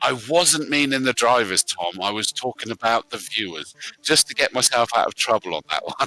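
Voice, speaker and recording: At a moderate pace, a man with a West Country accent and a medium pitch uses lively intonation, his tone bright and sharp, in a dry, close sound with no echo. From West Country, England. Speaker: sim racing commentator. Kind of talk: live commentary sign-off. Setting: live stream. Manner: hesitant, many fillers.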